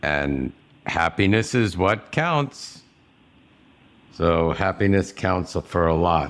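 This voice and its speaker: Delivered with an American accent, the speech is very slow, broken by long, frequent pauses. The intonation is lively and the loudness very even. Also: man, very deep, low pitch for a man. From New York. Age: 60s. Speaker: podcast host. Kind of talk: casual interview.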